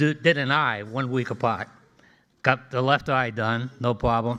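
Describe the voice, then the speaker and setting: With a Boston accent, a man speaks at a moderate pace in a bright, sharp tone. The recording is very clean with a silent background. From Boston, Massachusetts (Jamaica Plain). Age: 80s+. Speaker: engineering alumnus. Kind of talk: after-dinner speech. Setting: dinner event with audience.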